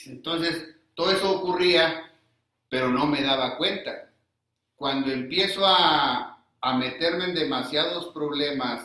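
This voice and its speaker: Very slowly, a man talks, his pitch varying in an ordinary way. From northern Mexico, Coahuila and Monterrey. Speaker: recovering alcoholic, AA member. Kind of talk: personal testimony.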